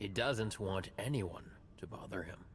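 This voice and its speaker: A man puts on a raspy character voice, pitched fairly low and delivered at a moderate pace. Background noise is clearly audible. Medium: video game.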